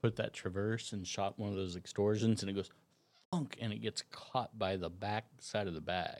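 An ordinary speaking voice, a man at a moderate pace with fairly even intonation. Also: fairly low pitch for a man. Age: 40s. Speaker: archer. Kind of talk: casual chat.

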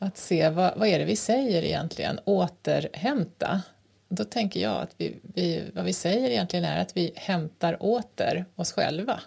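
A woman's fairly low-pitched voice with vocal fry and very wide pitch swings, at a moderate pace. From rural Sweden, grew up on a farm. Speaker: podcast co-host. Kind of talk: casual chat. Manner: halting, many fillers.

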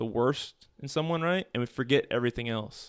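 With a dry, close sound, no echo and a silent background in a very clean recording, a man with an ordinary speaking voice talks at medium pitch and a fairly quick pace with lively intonation. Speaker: podcast guest. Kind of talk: casual chat.

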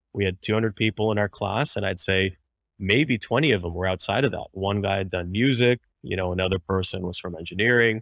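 In a very clean recording with a silent background, a man with a fairly low pitch talks at a moderate pace with ordinary pitch variation, the sound dry and close with no echo. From Canada, Montreal. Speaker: physician and startup co-founder. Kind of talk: interview. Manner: halting, many fillers.

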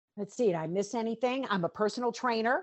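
A woman speaks with an American accent in an unremarkable speaking voice. Her pitch sits fairly high. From Western North Carolina. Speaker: bereaved mother and fitness trainer. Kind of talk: interview testimony.

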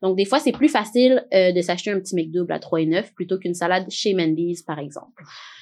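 With a normal speaking voice at medium pitch, a woman talks at a fairly quick pace with lively intonation and hardly any pauses over a quiet background. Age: 20s. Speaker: podcast host. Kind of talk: casual chat.

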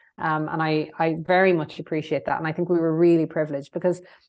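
A woman with a west of Ireland accent at a very fast pace, over a quiet background. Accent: west of Ireland Irish. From Ireland, County Mayo. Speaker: former politician, consultancy CEO. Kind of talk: interview. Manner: hesitant, many fillers.

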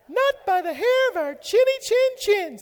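The put-on character voice is pitched extremely high. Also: moderate pace.

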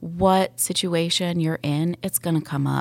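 A woman with an American accent speaks in an ordinary speaking voice at a moderate pace. Her pitch is fairly low and varies in an ordinary way. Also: very clean recording, silent background. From US South, Atlanta area (Sandy Springs). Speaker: real estate agent. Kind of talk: interview. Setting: studio.

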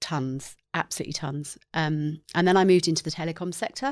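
An English accent on a very clean recording with a silent background. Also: woman. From England. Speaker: marketing executive. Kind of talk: interview.

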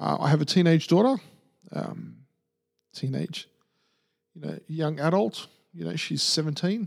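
A man speaks at a fairly slow pace with long, frequent pauses. His loudness swings widely. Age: 40s. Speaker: podcast host. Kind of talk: solo casual monologue. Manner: halting.

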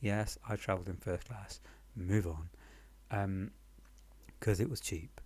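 With a British accent and vocal fry, a man speaks at a very deep, low pitch and a fairly slow pace, leaving long, frequent pauses. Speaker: podcast storyteller. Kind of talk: casual personal storytelling. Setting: temporary apartment in Paris, recorded on the move, ambient noise. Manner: halting, many pauses and fillers; wry, self-deprecating, humorous.

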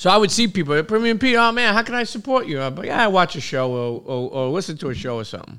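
Speaking at a very fast pace with hardly any pauses, a man raises and projects his high, bright, sharp voice through very wide pitch swings. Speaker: food entrepreneur and motivational speaker. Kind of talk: casual chat. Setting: studio. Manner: halting, many filler words.

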